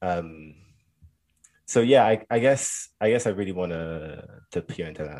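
A man with a London accent and a very deep, low pitch is heard in a very clean recording with a silent background. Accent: London, Oxbridge-like British. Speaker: student guest. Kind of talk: casual chat.

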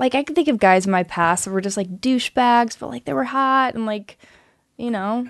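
With an American accent, a woman uses an ordinary speaking voice, fairly high in pitch, with lively intonation at a fairly quick pace over a quiet background. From North Carolina. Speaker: guest, host's partner. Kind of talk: casual chat. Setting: studio.

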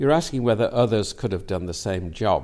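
A man speaks with a slight Lancashire accent. His tone is dark and mellow. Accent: light Lancastrian lilt. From northern England, Manchester. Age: 80s+. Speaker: peer and retired professor of medicine. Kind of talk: interview.

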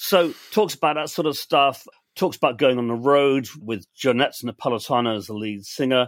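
A man with an English accent and ordinary pitch variation. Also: medium pitch for a man, moderate pace. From England. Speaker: podcast co-host. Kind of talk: casual chat. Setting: video call.

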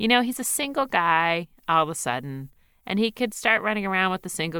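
With an American accent, a woman speaks at a moderate pace in a bright, sharp tone, her medium pitch carried by lively intonation over a very clean recording with a silent background. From US Northeast, Philadelphia. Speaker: author and podcast host. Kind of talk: casual chat.

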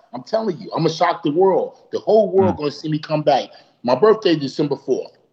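In a New York accent, a man speaks at a very fast pace and a high pitch, with ordinary pitch variation and big swings in loudness. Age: 40s. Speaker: professional boxer. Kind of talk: casual interview. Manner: animated.

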